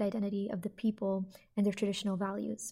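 A woman speaks in a fairly high, somewhat breathy voice with a dark, mellow tone and flat, monotone intonation, on a very clean recording with a silent background. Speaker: undergraduate student reporter. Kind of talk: reading research notes.

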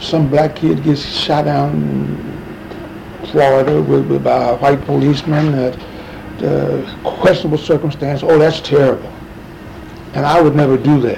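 A man with an American accent at a fairly slow pace, with long, frequent pauses and noticeable background noise. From US Midwest, St. Louis, Missouri. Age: 70s. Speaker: civil rights leader and former city official. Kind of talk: oral history interview.

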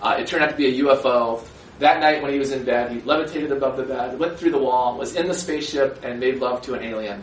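Amid noticeable background noise and audible room echo, a man speaks at a very fast pace with ordinary pitch variation. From US Midwest, rural Minnesota. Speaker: author. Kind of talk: public talk with slides. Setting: lecture hall with audience.

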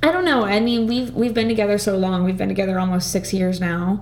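Fairly quick woman's voice at a medium pitch, with noticeable background noise. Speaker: podcast guest. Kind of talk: casual chat. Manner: excitable.

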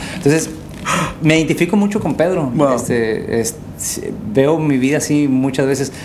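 There is audible room echo and noticeable background noise. A man speaks at a fairly high pitch. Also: ordinary pitch variation, moderate pace. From Baja California, Mexico (Valle de San Quintín). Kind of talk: casual chat.

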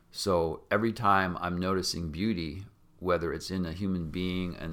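A man with an American accent speaks at a moderate pace in a very deep, low voice. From Washington State, US. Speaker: psychology professor. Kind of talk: interview conversation.

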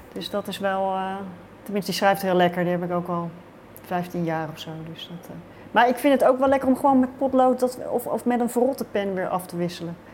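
With an unremarkable speaking voice, a woman at medium pitch talks at a fairly quick pace with lively intonation and big swings in loudness. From Netherlands, Rotterdam. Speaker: writer. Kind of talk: interview.

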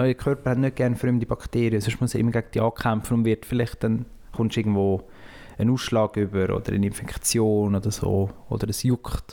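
With a Swiss accent, a man speaks fairly quickly in a dark, mellow, flat monotone at very even loudness. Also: medium pitch for a man. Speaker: podcast co-host and poetry slam moderator. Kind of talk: casual chat.

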